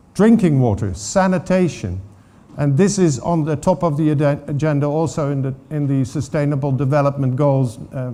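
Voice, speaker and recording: Lively intonation from a man with a Dutch accent, a dark, mellow tone, fairly high pitch and a moderate pace. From Netherlands. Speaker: water governance expert. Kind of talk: conference talk. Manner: halting.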